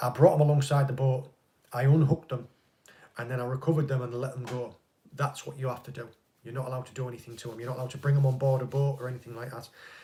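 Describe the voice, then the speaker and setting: Very fast, somewhat breathy speech from a man, medium in pitch, monotone and flat in intonation, dark and mellow in tone, with big swings in loudness. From northeast England. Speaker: fishing channel host, ex-Navy. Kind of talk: live stream Q&A chat.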